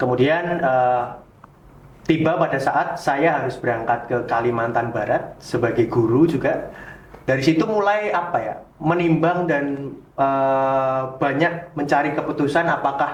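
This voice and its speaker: Heard with audible room echo, a man speaks in a strong Yogyakarta accent with ordinary pitch variation. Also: fairly high pitch for a man, fairly slow pace. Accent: strong Javanese (Jogja). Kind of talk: casual interview.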